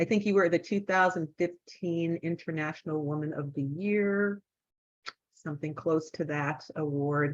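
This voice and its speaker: A woman with an unremarkable speaking voice talks at a moderate pace, with a fairly low pitch and fairly even intonation. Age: 60s. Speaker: event moderator, former hospice worker. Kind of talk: introducing a speaker. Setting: video call.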